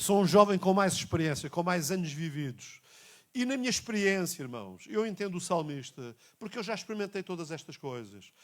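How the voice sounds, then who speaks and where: A man speaks at a moderate pace with a European Portuguese accent. His high voice has lively intonation. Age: 60s. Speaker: pastor. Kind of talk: sermon. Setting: church. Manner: repetitive, emphatic.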